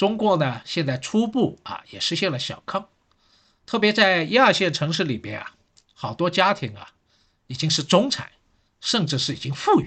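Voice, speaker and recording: Over a quiet background, a man with a high, bright, sharp voice uses very wide pitch swings and big swings in loudness, with long, frequent pauses. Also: moderate pace. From Shanghai. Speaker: history professor. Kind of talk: solo podcast talk.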